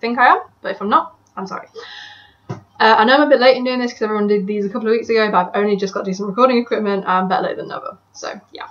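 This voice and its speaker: A woman with an English accent, fairly high in pitch, with ordinary pitch variation. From England. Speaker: motorsport fan vlogger. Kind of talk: casual monologue answering questions. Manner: hesitant, many fillers.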